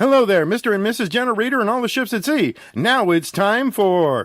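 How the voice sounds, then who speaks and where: A man's put-on character voice, high-pitched and at a fairly quick pace. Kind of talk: radio show hosting.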